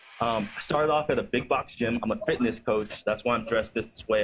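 Over light background noise, the speaker talks at a fairly quick pace with ordinary pitch variation. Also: man. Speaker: fitness coach calling in. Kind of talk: interview answer. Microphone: video call.

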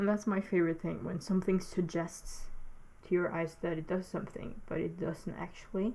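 Speaking at a fairly quick pace with a non-native accent, a woman has a dark, mellow tone and monotone, flat intonation. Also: medium pitch for a woman. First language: not English. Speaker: digital artist making a tutorial. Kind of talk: narrated tutorial. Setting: alone at home, voiceover recording. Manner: halting, hesitant, with filler words.

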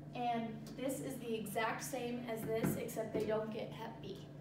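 At a fairly slow pace, a woman speaks with ordinary pitch variation amid loud background noise and audible room echo. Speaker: presenter. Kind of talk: tutorial. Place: classroom. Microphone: camera far.

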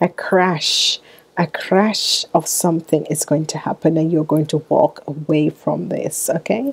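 The speaker is a woman. Her pitch sits fairly low. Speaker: tarot reader. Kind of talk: tarot reading monologue. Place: home room. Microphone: earbuds.

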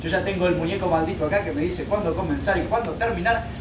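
Noticeable noise fills the background. Over it, a man is talking. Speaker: fitness trainer. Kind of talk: tutorial. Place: open country. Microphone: camera far.

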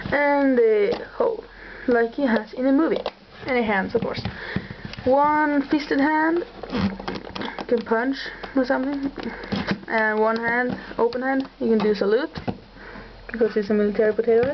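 Noticeable background noise sits under speech at a moderate pace with long, frequent pauses. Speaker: toy reviewer. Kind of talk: casual toy review. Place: home room. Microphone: camera far.

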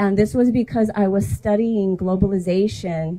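Somewhat breathy, a woman speaks at a moderate pace. Her pitch varies in an ordinary way. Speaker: speaker. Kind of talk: public talk. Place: street.

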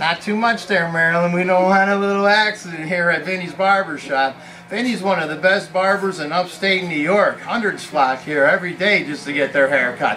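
A man speaks at a fairly quick pace with ordinary pitch variation over light background noise. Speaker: stunt video host. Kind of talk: casual vlog chat. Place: shop.

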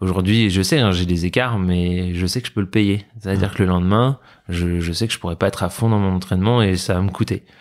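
Fairly quick and fairly even in intonation, a man with a very deep, low pitch speaks on a very clean recording with a silent background. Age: 30s. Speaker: para-badminton athlete. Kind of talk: interview.

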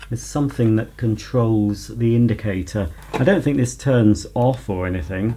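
A fairly low-pitched man at a moderate pace with ordinary pitch variation, over noticeable background noise. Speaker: vacuum cleaner enthusiast video creator. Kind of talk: unboxing and product demonstration video.

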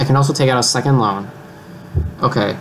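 A man speaks at a fairly quick pace with light background noise behind him. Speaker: gamer. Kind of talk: casual gameplay commentary. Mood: overwhelmed, mildly amused. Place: home room.

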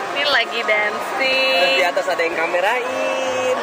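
Crowd noise fills the background as a woman speaks fairly slowly. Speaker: vlogger. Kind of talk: casual vlog chat. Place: hall. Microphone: phone near.

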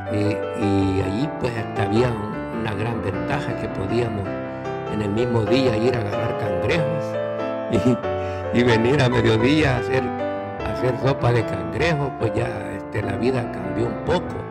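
A man speaks at a fairly slow pace as loud music plays in the background. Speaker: grandfather telling life story. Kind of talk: personal life story told to camera. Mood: calm, reminiscing. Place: studio. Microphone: studio mic.

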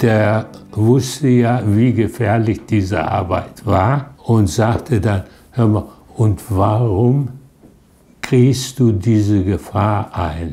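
A man with a fairly low pitch, very slow pace and very even loudness. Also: ordinary pitch variation. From Duisburg, Germany. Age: 80s+. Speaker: contemporary witness, son of resistance fighter. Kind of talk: interview answer. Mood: reflective, recalling his father. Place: home room. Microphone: lapel.

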